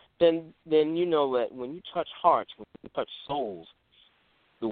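A man talks in a Southern US accent. His pace is moderate and his intonation lively. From US Gulf Coast, Mississippi. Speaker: DJ and music producer. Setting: phone call. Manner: halting.

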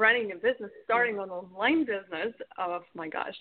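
A woman with a Russian accent talks at a fairly quick pace in a fairly high pitch. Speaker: business coach. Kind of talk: interview.

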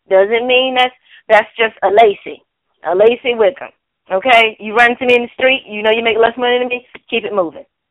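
In a normal speaking voice, a woman with a fairly high pitch talks at a fairly quick pace with fairly even intonation. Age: 30s. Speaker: news segment co-host. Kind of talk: casual chat; news reading. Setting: phone call.

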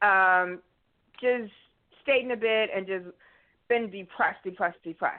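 An unremarkable speaking voice from a woman, medium in pitch with ordinary pitch variation. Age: 50s. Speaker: caller. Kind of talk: testimony.

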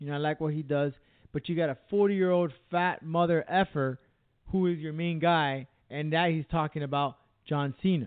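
A man with a normal speaking voice, fairly high in pitch, fairly even intonation, moderate pace. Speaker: radio host. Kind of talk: casual chat.

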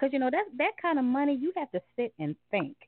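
Speaking at a fairly quick pace with an American accent, this voice swings very widely in pitch. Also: woman. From US South, small rural town. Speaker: guest. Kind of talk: casual chat.

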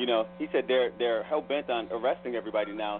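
Amid obvious background noise, a man talks at a middling speed. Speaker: panelist on a talk show. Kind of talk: radio panel discussion.

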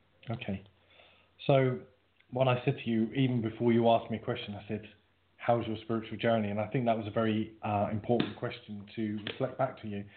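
A man with a British accent talks at a fairly quick pace in a medium pitch. His intonation is monotone and flat. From UK. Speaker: psychic medium. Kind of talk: casual reading with callers. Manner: playful, jokey.

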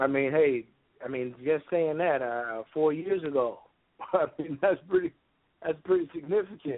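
A man talks with a fairly high pitch that varies in an ordinary way, keeping a moderate pace. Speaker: health practitioner. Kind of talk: radio talk show. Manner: halting.

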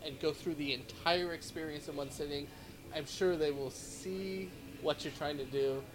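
Through noticeable background noise comes a man's voice at a fairly high pitch. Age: 40s. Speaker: podcast host. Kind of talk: interview. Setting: coffee shop.

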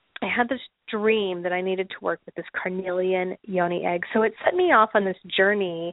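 A woman with an unremarkable speaking voice at medium pitch, a moderate pace, and big swings in loudness. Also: fairly even intonation. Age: 40s. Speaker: podcast host. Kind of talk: casual monologue. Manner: frequent fillers.

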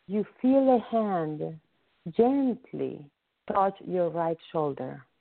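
Lively intonation in a natural reading voice, set against a quiet background

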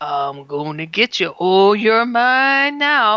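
Over a quiet background, a put-on character voice comes out guttural and fairly high in pitch at a very slow pace. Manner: menacing, threatening.

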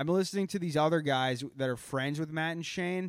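Speaking at a fairly quick pace, a man has a Boston accent. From Boston area. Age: 20s. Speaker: comedy podcast host. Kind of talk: casual chat. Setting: live stream. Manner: animated.

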